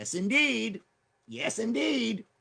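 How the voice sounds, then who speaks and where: Putting on a character voice, a man speaks high in pitch with very wide pitch swings. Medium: game stream.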